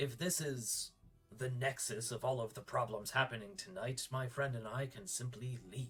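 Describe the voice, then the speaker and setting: A man does a put-on character voice at a medium pitch. His pace is moderate. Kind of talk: tabletop roleplay character voice. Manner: formal, polite.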